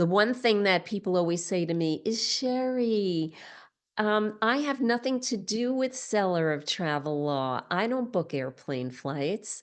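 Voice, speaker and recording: Against a quiet background, a woman talks at a fairly slow pace with a medium pitch and very wide pitch swings. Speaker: legal expert speaking to retreat leaders. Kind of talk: webinar presentation. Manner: animated.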